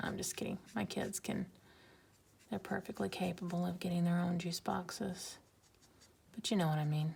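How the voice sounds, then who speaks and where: A woman's quiet, somewhat breathy mumbling, fairly low-pitched with fairly even intonation, at a moderate pace with long, frequent pauses. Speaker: art YouTuber. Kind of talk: casual drawing commentary. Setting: home at night, filming alone.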